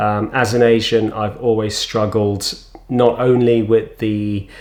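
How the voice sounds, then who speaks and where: A man with a London accent and a fairly low pitch speaks at a fairly slow pace. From London, England. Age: 40s. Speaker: vlogger with cystic fibrosis. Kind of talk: personal testimony. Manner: halting, many fillers.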